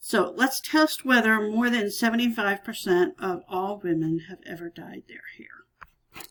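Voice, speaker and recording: In a normal speaking voice, a woman talks at a fairly slow pace and medium pitch with lively intonation, big swings in loudness and hardly any pauses. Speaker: statistics teacher. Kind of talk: tutorial.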